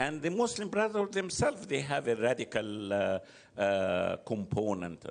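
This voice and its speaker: Speaking with an Arabic accent, a man makes very wide pitch swings. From Egypt. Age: 70s. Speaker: political analyst. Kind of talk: interview. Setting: live venue.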